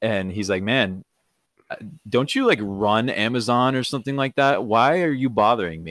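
This man has a normal speaking voice, pitched in the middle range. He keeps a moderate tempo, and his pitch moves in an ordinary way. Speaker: podcast host. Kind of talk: casual chat. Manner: laid-back, filler words.

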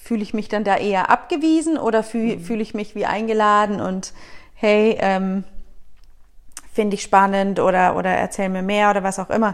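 This is an ordinary speaking voice at a moderate pace. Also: woman, medium pitch for a woman, ordinary pitch variation. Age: 30s. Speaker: guest. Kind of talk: casual chat.

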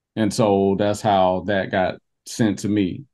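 Someone talks with an Alabama accent. The speaker is a man. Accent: Southern US (Alabama). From US South, southwest Alabama. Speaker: history tour company founder. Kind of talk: casual interview. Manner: halting, many repetitions.

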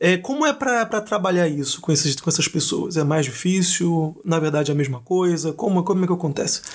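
The voice moves at a fairly quick pace with lively intonation, very even loudness and hardly any pauses. Noticeable background noise runs underneath. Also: man, high pitch for a man. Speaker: podcast host. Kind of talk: podcast interview.

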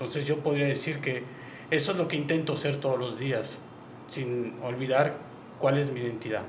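At a moderate pace, a man speaks in a fairly high pitch with fairly even intonation. Long, frequent pauses and audible room echo mark the clip. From Oaxaca, Mexico. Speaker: tourism business executive. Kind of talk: radio interview.

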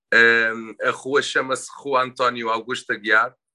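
Over a quiet background, a man at medium pitch speaks in a monotone, flat way with a bright, sharp tone, the sound dry and close with no echo. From Portugal, Sesimbra. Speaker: illustrator and tattoo artist. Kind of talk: interview. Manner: halting, many fillers and repetitions.

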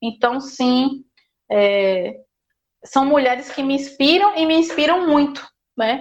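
A woman's high voice with lively intonation, very slow pace, and long, frequent pauses. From Paraíba agreste, Brazil (rural area near Esperança). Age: 20s. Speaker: doctoral student, historian. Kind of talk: interview.

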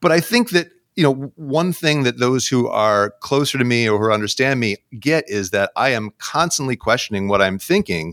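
This man has an ordinary speaking voice at a medium pitch, with lively intonation and a moderate pace. The sound is dry and close with no echo, and the recording is very clean over a silent background. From New York State, US Northeast. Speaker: community college English instructor. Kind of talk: casual interview conversation.

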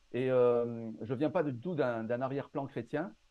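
At a fairly slow pace, a man talks with a southern French accent. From southern France, Marseille. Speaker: pastor and Bible commentary author. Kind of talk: casual interview.

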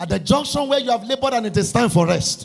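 Extremely high-pitched man's voice with very wide pitch swings amid noticeable background noise. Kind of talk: fervent prayer led before a congregation, with call-and-response. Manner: loud, urgent and commanding, with rhythmic repetition; impassioned, shouting decrees and praise.

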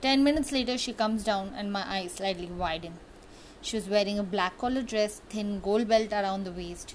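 The passage is read aloud in a natural voice, and the pitch shifts in an ordinary way.

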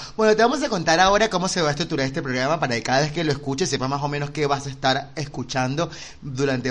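Lively intonation from a man at a very fast pace, his pitch fairly high. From Venezuela. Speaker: podcast host. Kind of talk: casual chat.

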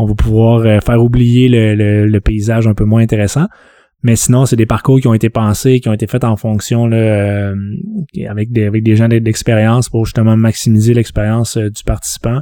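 On a very clean recording with a silent background, a man with a medium pitch and a dark, mellow tone speaks at a moderate pace in a monotone, flat intonation with very even loudness. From Quebec, Saguenay (Jonquière). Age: 30s. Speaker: sports event producer. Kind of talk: casual interview.

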